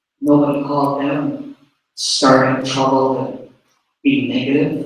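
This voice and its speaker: The speech comes at a fairly slow pace, with audible room echo. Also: man. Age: 60s. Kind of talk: public meeting speech.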